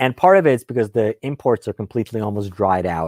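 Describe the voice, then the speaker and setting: A man with a Russian accent talks at a moderate pace with ordinary pitch variation. The very clean recording has a silent background and a dry, close sound with no echo. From Ukraine (former Soviet Union), moved to US at nine. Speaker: gun channel host. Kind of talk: live stream Q&A chat. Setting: home studio live stream.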